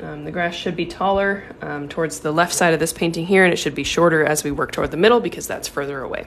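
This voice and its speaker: Over light background noise, a woman with a fairly low pitch talks at a very fast pace, with ordinary pitch variation and hardly any pauses. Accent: American. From US Pacific Northwest, Seattle. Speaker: watercolor artist; art instructor. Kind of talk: tutorial. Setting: livestream. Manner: casual with frequent filler ums. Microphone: phone near.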